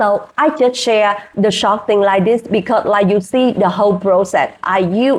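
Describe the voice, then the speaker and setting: A woman with a Vietnamese accent talks at a medium pitch with fairly even intonation. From Vietnam, rural village. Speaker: hospitality worker and English-learning vlogger. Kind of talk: casual vlog. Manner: halting, with fillers.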